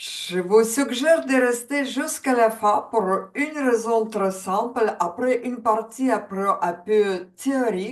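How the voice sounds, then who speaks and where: A woman speaks very slowly with a Ukrainian accent. Her pitch is fairly high, with ordinary variation. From Ukraine. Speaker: coach. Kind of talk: webinar presentation.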